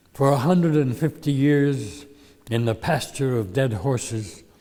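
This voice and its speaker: Against noticeable background noise, a man with an American accent speaks at a fairly slow pace, with a medium pitch and ordinary pitch variation. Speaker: poet. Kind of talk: poetry reading.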